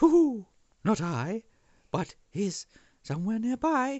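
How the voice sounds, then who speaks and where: Using a put-on character voice, a man speaks high in pitch and at a fairly slow pace. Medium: read story.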